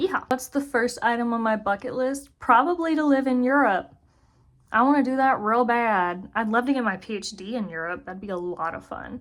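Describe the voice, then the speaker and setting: A woman's high voice with lively intonation at a fairly quick pace, on a very clean recording with a silent background. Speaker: zookeeper and video creator. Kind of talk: casual chat. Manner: fast.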